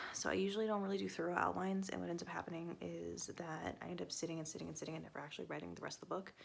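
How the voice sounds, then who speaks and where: A woman speaks quietly at a very fast pace. She leaves hardly any pauses. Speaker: author vlogger. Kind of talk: casual vlog. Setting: at home on the couch at night. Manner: quiet, keeping voice down; hesitant with fillers.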